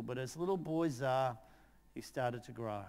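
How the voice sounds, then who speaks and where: This man speaks with an Australian accent. His pace is moderate. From Australia, outer Melbourne. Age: 60s. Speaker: teacher and presenter. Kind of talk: storytelling; conference talk. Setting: conference stage with audience. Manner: animated.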